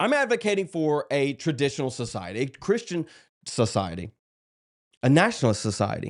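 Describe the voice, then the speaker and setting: With a South Carolina accent and vocal fry, a man speaks at a fairly quick pace against a quiet background, his fairly high pitch swinging very widely. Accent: Southern US (South Carolina). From US South, South Carolina (Dillon). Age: 30s. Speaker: political streamer. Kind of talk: livestream monologue. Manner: casual, halting with fillers.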